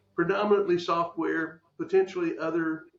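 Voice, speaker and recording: A man with an American accent talks at a moderate pace while noticeable background noise carries on behind him. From Texas. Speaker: podcast host. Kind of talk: interview.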